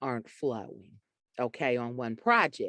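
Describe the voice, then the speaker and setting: With a strong Southern US accent, a woman speaks in a dry, close sound with no echo against a quiet background. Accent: deep Southern US. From US Deep South. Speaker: author and poet. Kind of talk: interview conversation.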